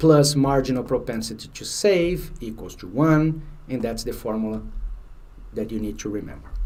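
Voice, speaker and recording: Speaking at a moderate pace with a Brazilian Portuguese accent, a man of medium pitch uses lively intonation and big swings in loudness, with audible room echo. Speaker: finance exam prep instructor. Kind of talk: lecture. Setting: livestream. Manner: halting.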